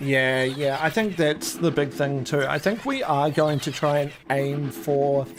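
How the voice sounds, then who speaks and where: Someone with a New Zealand accent speaks at a fairly slow pace in a relaxed tone, with hardly any pauses. Noticeable background noise runs underneath. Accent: Kiwi. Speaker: shiny hunting gaming streamer. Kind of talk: casual live stream chat. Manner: relaxed, chatty.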